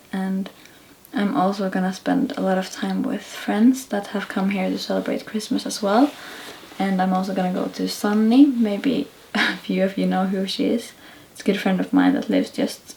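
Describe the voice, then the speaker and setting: A woman speaks quietly at a moderate pace and medium pitch, with ordinary pitch variation, over noticeable background noise. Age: 20s. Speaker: vlogger. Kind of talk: vlog talking to camera. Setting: indoors at night at family house. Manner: quiet, hushed.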